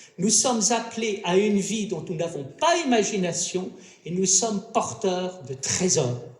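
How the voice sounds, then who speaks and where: With audible room echo and noticeable background noise, a man speaks fairly slowly in a high voice with lively intonation. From France. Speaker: philosopher, round-table panelist. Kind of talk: round-table talk. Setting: stage with audience at a festival. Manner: formal.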